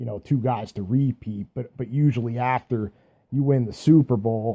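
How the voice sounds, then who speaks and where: A man with an American accent speaks at a moderate pace in a medium pitch, his tone dark and mellow and his intonation fairly even. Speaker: sports fan vlogger. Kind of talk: casual sports monologue. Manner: halting, stuttering; casual, hesitant.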